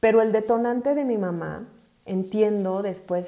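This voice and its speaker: A woman with a Mexican accent, a dark, mellow tone, ordinary pitch variation and a moderate pace. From Mexico City. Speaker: podcast host, accountant and life coach. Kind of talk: personal testimony monologue. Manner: hesitant, many fillers and repetitions.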